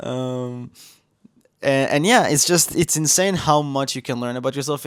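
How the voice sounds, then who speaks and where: Speaking at a moderate pace, a man uses lively intonation. The recording is very clean, with a silent background. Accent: Israeli. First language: Hebrew. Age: 20s. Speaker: vlogger. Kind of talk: personal vlog monologue. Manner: halting, many fillers and restarts.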